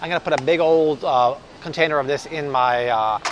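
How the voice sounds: A man speaks at a fairly quick pace and a fairly high pitch, with ordinary pitch variation. Faint background noise can be heard.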